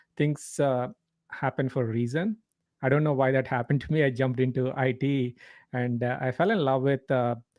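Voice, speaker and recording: Fairly quick and medium in pitch, a man speaks with fairly even intonation. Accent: Telugu. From India. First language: Telugu. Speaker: leadership coach. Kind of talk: interview.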